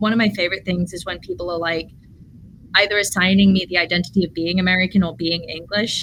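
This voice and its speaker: Using ordinary pitch variation, a woman speaks at a medium pitch. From English Midlands, raised in US. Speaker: artist and early childhood educator. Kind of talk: podcast conversation.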